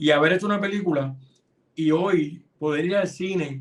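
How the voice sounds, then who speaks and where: With a high pitch for a man, he talks using fairly even intonation. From Puerto Rico, Hormigueros (west coast). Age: 50s. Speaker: film and television director. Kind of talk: interview. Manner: casual, conversational with fillers.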